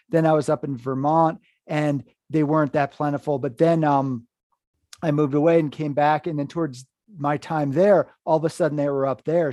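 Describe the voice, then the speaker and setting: A man's fairly high, dark and mellow voice at a fairly quick pace, with fairly even intonation, dry, close sound with no echo and a quiet background. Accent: American. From US Northeast, Hudson River Valley, New York. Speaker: horror podcast host and writer. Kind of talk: casual interview chat.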